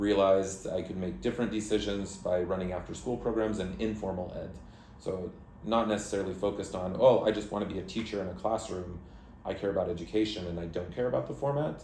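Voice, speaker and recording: Speaking very fast in an American accent, a man with a fairly low pitch and a dark, mellow tone sounds somewhat breathy, with audible room echo. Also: ordinary pitch variation. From United States. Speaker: country director of an education nonprofit. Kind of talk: interview.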